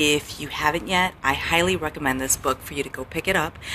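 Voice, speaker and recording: A woman speaks softly in a very deep, low voice. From US Midwest, Chicago. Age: 40s. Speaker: life coach. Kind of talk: live stream talk. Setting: hotel lobby. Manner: soft-spoken.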